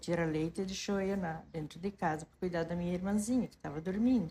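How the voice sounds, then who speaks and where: Somewhat breathy, a woman speaks in a dark, mellow tone with fairly low pitch and ordinary pitch variation. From southern Brazil, rural Santa Catarina. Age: 60s. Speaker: interviewee sharing life story. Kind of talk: life story testimony. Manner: halting, with self-corrections.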